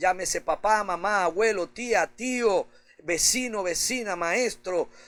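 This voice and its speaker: Over music in the background, a man with a high pitch speaks at a very slow pace. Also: ordinary pitch variation. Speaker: pastor. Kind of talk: sermon preaching.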